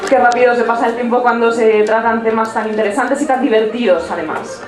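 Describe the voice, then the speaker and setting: Over music in the background, a woman with a fairly high pitch speaks at a fairly quick pace with fairly even intonation. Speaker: radio host. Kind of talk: live radio interview.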